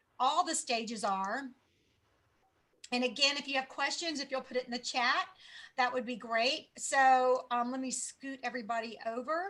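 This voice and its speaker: In a raised, projected voice, a woman speaks with high pitch, a bright, sharp tone and fairly even intonation. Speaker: sales team leader. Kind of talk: training presentation.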